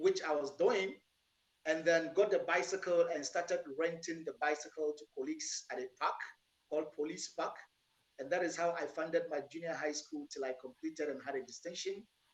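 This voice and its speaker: The speaker has a Ghanaian accent and a fairly even intonation. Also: man, high pitch for a man, moderate pace. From northern Ghana (Tamale, Yendi) and Accra. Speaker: entrepreneur, business owner. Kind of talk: interview. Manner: soft-spoken. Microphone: too quiet.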